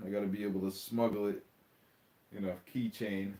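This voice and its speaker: Moderate pace from a man with a Long Island accent. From New York, Long Island. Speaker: diecast hobby YouTuber. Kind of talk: casual livestream chat. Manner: animated, repetitive.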